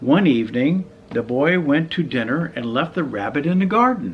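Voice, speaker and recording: Vocal fry marks this man's fairly high voice, which moves at a fairly slow pace through very wide pitch swings. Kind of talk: children's storybook reading.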